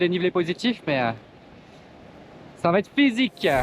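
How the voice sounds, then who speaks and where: Here a man talks at a moderate pace in a high pitch. The sound is dry and close, with no echo. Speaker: travel vlogger. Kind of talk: travel vlog narration. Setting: outdoors. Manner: halting.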